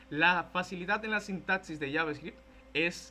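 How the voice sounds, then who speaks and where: This man's voice has a bright, sharp tone. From Dominican Republic. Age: 20s. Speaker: content creator and programming teacher. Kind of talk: tech talk / lecture. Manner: casual, conversational.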